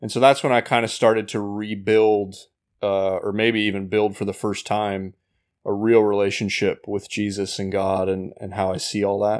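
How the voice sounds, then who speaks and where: On a very clean recording with a silent background, a man with an American accent speaks at a fairly low pitch in a monotone, flat intonation. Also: moderate pace. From Indiana, US Midwest. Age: 30s. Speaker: ministry leader and former worship pastor. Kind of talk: casual interview.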